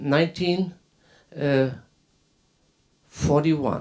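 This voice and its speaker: A man talks with a German accent. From northern Germany, coast. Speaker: former Hitler Youth member telling his story. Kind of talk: personal testimony. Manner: halting, with repetitions.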